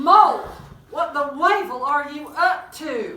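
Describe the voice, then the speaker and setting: The voice is high and put on as a character. It moves at a fairly slow pace with a slight echo. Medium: stage play. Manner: scolding.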